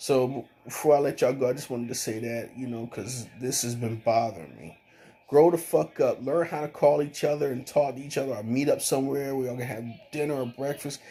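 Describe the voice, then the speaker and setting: A man with a medium pitch mumbles at a moderate pace. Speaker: vlogger. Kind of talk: casual monologue. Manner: mumbling; halting.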